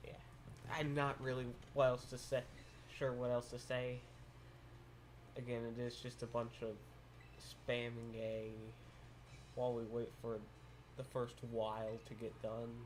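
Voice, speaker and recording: A man with an American accent speaks in a monotone, flat intonation, with long, frequent pauses. Background noise is noticeable. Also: medium pitch for a man. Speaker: video game streamer. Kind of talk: live gameplay stream commentary. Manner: casual, halting.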